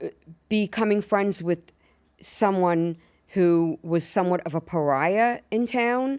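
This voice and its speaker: A woman with a strong Long Island accent speaks at a medium pitch with ordinary pitch variation. The recording is very clean against a silent background. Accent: strong Long Island New York. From New York, Long Island. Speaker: actress and stand-up comedian. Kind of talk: casual interview chat. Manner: animated storytelling.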